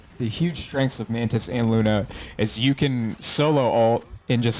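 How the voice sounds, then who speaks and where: A man talks with noticeable background noise present. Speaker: gamer, ranked game commentator. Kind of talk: gameplay VOD review commentary. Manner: calm, soothing, ASMR-style.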